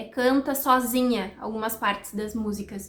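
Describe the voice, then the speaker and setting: A woman talks with a high pitch and ordinary pitch variation. Her pace is fairly slow. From Brazil, countryside. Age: 30s. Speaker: nutritionist, vlogger. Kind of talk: casual vlog chat. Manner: chatty, fluent.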